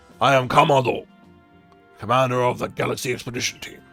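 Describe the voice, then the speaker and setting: Over faint background music, a man rattles off lines at a very fast pace in a put-on character voice of medium pitch. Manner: authoritative, formal.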